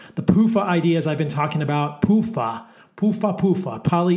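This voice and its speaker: A man with fairly high pitch talks at a fairly quick pace in an animated tone, with ordinary pitch variation. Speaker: podcast host. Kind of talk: casual interview chat. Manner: animated, excitable.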